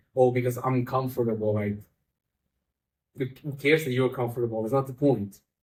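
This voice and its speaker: This man's voice sits at a medium pitch, with a dark, mellow tone, ordinary pitch variation and a somewhat breathy quality. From Italy. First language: Italian. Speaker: magician and comedian. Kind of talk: casual chat. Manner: animated.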